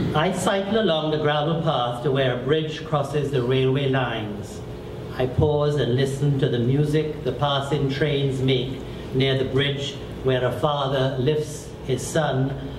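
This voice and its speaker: A fairly high-pitched man talks fairly slowly, keeping his intonation fairly even as noticeable background noise carries on behind him. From Trinidad and Tobago. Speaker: poet and novelist; poet. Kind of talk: poetry reading. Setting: bookstore event with audience. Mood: calm, reflective. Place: shop.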